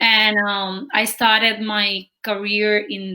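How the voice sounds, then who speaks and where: This speaker has a Spanish accent. The tone is bright and sharp. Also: woman. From Cuba. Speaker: real estate agent. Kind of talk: interview.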